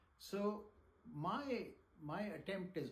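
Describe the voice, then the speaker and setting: There is audible room echo as a man speaks in a somewhat breathy voice. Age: 60s. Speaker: teacher. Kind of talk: lecture. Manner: halting.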